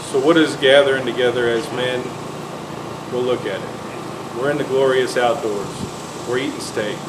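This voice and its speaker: A shaky man's voice at medium pitch comes at a moderate pace in a flat monotone with long, frequent pauses. Audible room echo and noticeable background noise are present. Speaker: church men's ministry leader. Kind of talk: casual chat. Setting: outdoors. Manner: shaky voice.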